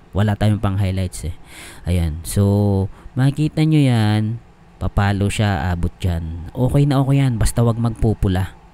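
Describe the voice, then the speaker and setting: At a fairly slow pace, a man talks in a fairly low pitch with lively intonation. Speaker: YouTube tech tutorial creator. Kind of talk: tutorial. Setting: home, screen recording. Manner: casual, filler-heavy.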